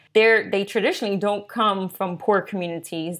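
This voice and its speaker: A woman at a medium pitch, a plain, everyday voice, moderate pace and ordinary pitch variation, on a very clean recording with a silent background. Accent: American. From US, North Philadelphia. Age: 30s. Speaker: activist and technologist. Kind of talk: casual interview.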